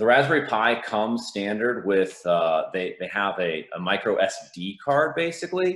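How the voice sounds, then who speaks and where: A man at a moderate pace with hardly any pauses, with audible room echo. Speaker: conference presenter. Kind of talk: conference talk. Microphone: video call.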